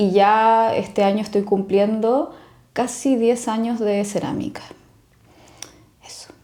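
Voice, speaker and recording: The tone is dark and mellow, the intonation fairly even, and the loudness swings widely. The pace is very slow, with long, frequent pauses. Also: woman, fairly high pitch for a woman. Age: 40s. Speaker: illustrator and ceramic artist. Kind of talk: casual interview chat.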